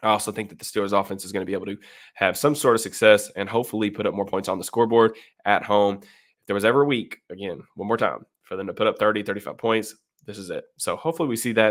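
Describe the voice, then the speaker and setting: At a very fast pace, a man talks with big swings in loudness. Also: fairly low pitch for a man, ordinary pitch variation. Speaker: sports YouTuber. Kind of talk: solo sports analysis. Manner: casual with many fillers.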